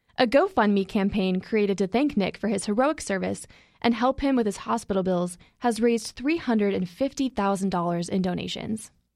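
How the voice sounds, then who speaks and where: On a very clean recording with a silent background, a woman speaks in a normal speaking voice. She keeps a moderate pace, a medium pitch and ordinary pitch variation. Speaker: journalism intern. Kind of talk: scripted narration.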